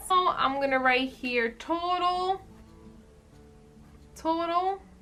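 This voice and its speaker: The voice is raised and projected. Its pitch swings very widely. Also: woman. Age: 20s. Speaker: budgeting video creator. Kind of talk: casual how-to talk to camera.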